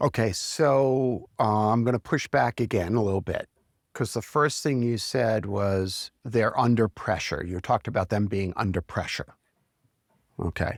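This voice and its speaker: A man speaks at a fairly slow pace, with medium pitch and ordinary pitch variation. He has an ordinary speaking voice. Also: very clean recording, silent background. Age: 60s. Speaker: CEO coach. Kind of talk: reflective interview conversation.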